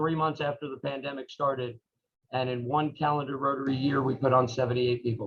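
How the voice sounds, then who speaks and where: Here a man talks at a medium pitch with fairly even intonation. His is a plain, everyday voice. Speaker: Rotary club member and speaker. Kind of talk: talk to a club meeting. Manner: many fillers and restarts.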